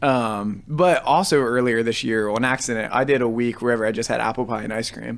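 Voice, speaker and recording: A man with a plain, everyday voice and an American accent, medium in pitch, at a fairly quick pace with hardly any pauses and ordinary pitch variation. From Ohio, Cambridge. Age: 20s. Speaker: musician. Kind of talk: casual chat. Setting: studio.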